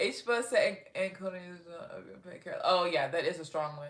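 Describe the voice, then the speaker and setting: With an animated tone, a woman keeps to a moderate pace. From Texas. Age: 30s. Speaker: livestreamer and first-grade reading teacher. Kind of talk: casual livestream chat reading comments.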